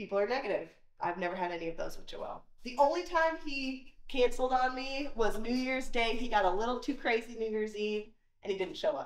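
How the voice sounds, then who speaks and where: A high-pitched woman talks at a fairly quick pace with lively intonation, and the room echo is audible. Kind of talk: casual vlog chat. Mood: upbeat, friendly. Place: garage. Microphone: camera far.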